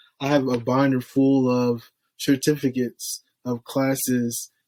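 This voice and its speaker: A man with an American accent speaks at a fairly slow pace in a medium pitch, his intonation flat and monotone, on a very clean recording with a silent background and a dry, close sound free of echo. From Florida, Haitian descent. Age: 30s. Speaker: state trooper, ex-firefighter. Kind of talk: casual chat.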